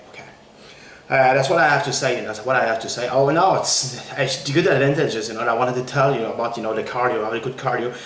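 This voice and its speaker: Talking at a very fast pace with ordinary pitch variation, a man is heard amid noticeable background noise and audible room echo. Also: medium pitch for a man. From Quebec. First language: French. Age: 40s. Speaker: fitness trainer. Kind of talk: tutorial. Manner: repetitive, halting with many fillers.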